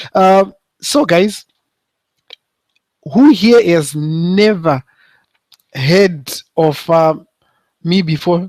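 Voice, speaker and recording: Long, frequent pauses interrupt delivery that unfolds at a very slow pace. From South Africa. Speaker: online marketing coach. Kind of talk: webinar presentation. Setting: live video broadcast. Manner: hesitant, many fillers. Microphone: echo.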